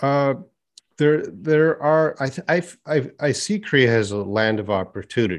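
In a Canadian accent, a man with a normal speaking voice and fairly high pitch talks with lively intonation against a quiet background. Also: fairly slow pace. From Canada; Edmonton, Canada. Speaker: YouTube English teacher and former university professor. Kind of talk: casual interview chat.

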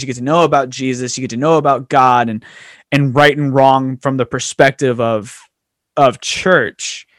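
A man with an ordinary speaking voice and a fairly high pitch talks at a moderate pace, the sound dry and close with no echo. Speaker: podcast host. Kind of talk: casual chat.

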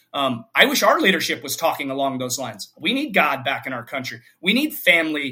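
A man speaks at a fairly quick pace with hardly any pauses, his pitch fairly high. It is an ordinary speaking voice, with ordinary pitch variation. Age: 40s. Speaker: fitness coach for fathers. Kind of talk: casual interview conversation.

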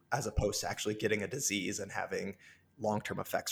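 A man with a fairly low, somewhat breathy voice talks very fast with an American accent. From rural Illinois. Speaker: virologist. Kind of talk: interview.

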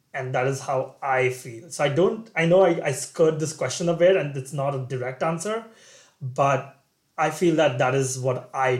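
A man's somewhat breathy, fairly high voice at a moderate pace. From India. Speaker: MBA student. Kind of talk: interview.

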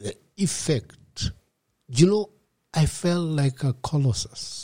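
Very slowly, a man speaks in a somewhat breathy voice with a dark, mellow tone and very wide pitch swings, on a very clean recording with a silent background. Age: 50s. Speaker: rehab center founder, recovered alcoholic. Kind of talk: testimony. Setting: host's home.

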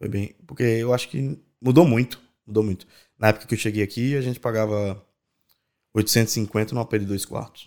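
Fairly even intonation at a moderate pace, long, frequent pauses, on a very clean recording with a silent background. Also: man, medium pitch for a man. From Brazil, Natal (Rio Grande do Norte). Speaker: event producer. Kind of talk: casual interview.

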